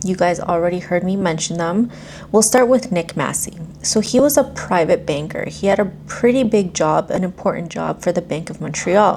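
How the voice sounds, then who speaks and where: Noticeable background noise sits behind a woman speaking. Her pitch is fairly low and her pace moderate. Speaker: true crime YouTuber. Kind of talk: storytelling narration. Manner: monotone.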